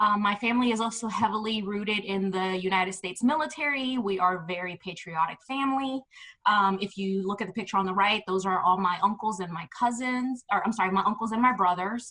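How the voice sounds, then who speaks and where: A woman with an unremarkable speaking voice and an American accent, medium pitch, ordinary pitch variation, a fairly quick pace and hardly any pauses. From New York City, the Bronx. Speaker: education administrator and presenter. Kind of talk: webinar presentation.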